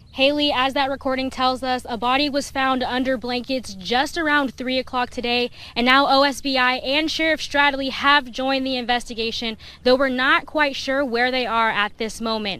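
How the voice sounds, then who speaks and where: A woman with a high pitch and an American accent uses a raised, projected voice with a bright, sharp tone, speaking at a moderate pace in a monotone, flat intonation with hardly any pauses. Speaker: multimedia journalist, weekend evening news anchor and reporter. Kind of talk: live report and standup delivered on location. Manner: conversational, direct address to viewers.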